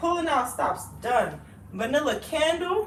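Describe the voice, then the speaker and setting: A woman talks at a fairly slow pace, her voice carrying audible room echo. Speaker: vlogger. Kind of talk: casual chat. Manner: animated; loud.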